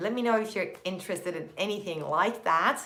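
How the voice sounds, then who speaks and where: Amid audible room echo, a woman with a Turkish accent talks at a fairly quick pace with ordinary pitch variation. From Turkey, Istanbul. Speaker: productivity content creator. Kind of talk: live stream chat. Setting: live stream. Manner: energetic.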